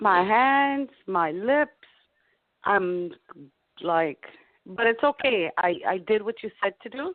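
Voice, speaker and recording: A woman speaks at a very slow pace with a fairly high pitch and very wide pitch swings. Long, frequent pauses break up her speech. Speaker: caller. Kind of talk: casual chat.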